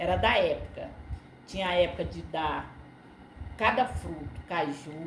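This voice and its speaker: Speaking at a moderate pace, a woman is heard with noticeable background noise and audible room echo. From Brazil, Ceará (Northeast). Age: 60s. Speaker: interviewee sharing life memories. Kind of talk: casual interview chat.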